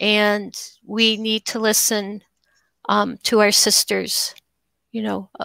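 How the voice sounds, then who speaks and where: Against a quiet background with dry sound and no echo, a woman speaks very slowly with long, frequent pauses. Her fairly high voice has a bright, sharp tone and a monotone, flat intonation. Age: 50s. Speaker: documentary filmmaker; guest. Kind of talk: interview. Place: home room.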